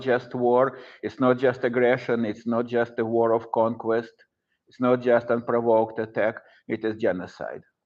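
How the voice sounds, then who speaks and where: A man with a Russian accent speaks at a moderate pace in a medium pitch, his intonation flat and monotone. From Russia, Saint Petersburg. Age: 60s. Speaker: professor. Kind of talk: lecture. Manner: halting.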